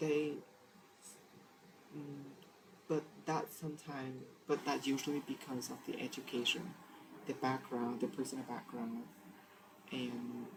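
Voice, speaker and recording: Noticeable background noise is present. The speech moves at a fairly slow pace. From Vietnam. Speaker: English learner. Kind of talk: speaking practice monologue. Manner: halting.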